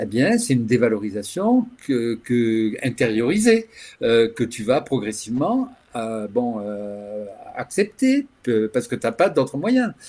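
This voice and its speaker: Very slowly and at a medium pitch, a man speaks with ordinary pitch variation in a very clean recording with a silent background. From France, Toulouse. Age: 60s. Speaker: LGBT activist, association founder. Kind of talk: interview talk. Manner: halting, many hesitations.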